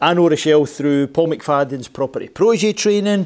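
The background is quiet as a man speaks in a high pitch. His pace is moderate and his pitch varies in an ordinary way. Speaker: show host. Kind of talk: interview show introduction. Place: studio.

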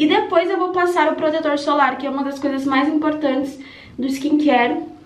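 Audible room echo surrounds a woman who speaks at a fairly quick pace, high in pitch with fairly even intonation. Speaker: vlogger. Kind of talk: casual vlog chat. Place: bathroom. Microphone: phone near.

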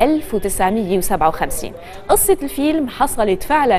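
Faint music plays in the background while a woman talks. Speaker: TV presenter. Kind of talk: news segment narration. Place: studio. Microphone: lapel.

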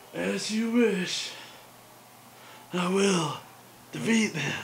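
A man puts on a high-pitched character voice at a very slow pace. Background noise is clearly heard. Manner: exaggerated, dramatic.

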